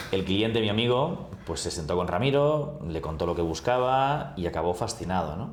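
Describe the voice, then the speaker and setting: There is audible room echo around a man speaking at a moderate pace. His intonation is lively. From Spain, Barcelona. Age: 40s. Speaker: travel agency executive. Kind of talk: interview.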